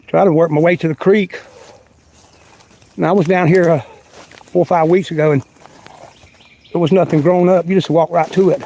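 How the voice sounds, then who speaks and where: Fairly even intonation in a North Carolina accent, with long, frequent pauses, noticeable background noise, and a dry, close sound with no echo. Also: man. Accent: Southern US, North Carolina. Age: 60s. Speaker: outdoor vlogger. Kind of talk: casual livestream walk-and-talk. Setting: outdoors. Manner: halting.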